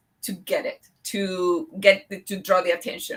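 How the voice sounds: A woman talks at a fairly slow pace with a fairly bright tone and medium pitch.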